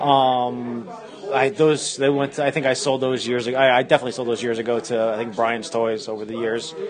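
Over noticeable background noise and audible room echo, a man with a medium pitch talks at a fairly quick pace with fairly even intonation. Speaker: toy dealer. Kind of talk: casual interview.

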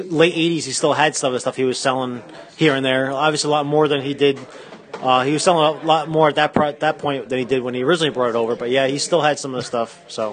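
Over noticeable background noise, the speech races along at a very fast pace with fairly even intonation. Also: man, fairly high pitch for a man. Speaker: toy dealer. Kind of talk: casual interview.

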